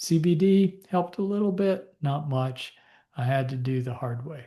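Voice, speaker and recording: The background is quiet while a man talks at a fairly slow pace. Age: 60s. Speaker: physician. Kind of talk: Q&A talk. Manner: casual, halting with fillers.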